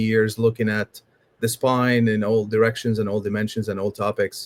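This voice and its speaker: The voice has an Arabic accent and monotone, flat intonation, with a dry, close sound with no echo. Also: man. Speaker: spine surgeon. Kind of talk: panel discussion. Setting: livestream.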